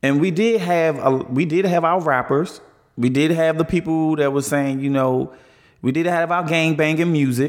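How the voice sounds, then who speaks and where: A plain, everyday voice with an American accent speaks at a moderate pace. Loudness stays very even and intonation fairly even. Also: man, fairly high pitch for a man. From Washington DC (south side). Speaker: guest sharing personal experience. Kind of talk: casual chat.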